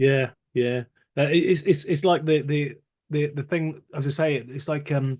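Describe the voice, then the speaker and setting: A man with a fairly high pitch, somewhat breathy, at a fairly slow pace with fairly even intonation. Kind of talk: casual conversation. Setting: outdoors.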